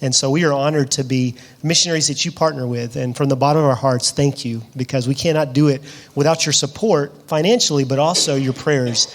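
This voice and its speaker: With a Southern US accent, a man talks at a fairly high pitch. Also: fairly even intonation, fairly quick pace. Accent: Southern US (Georgia). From US South, Georgia (Lovejoy, south of Atlanta). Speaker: missionary. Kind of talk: interview in church service.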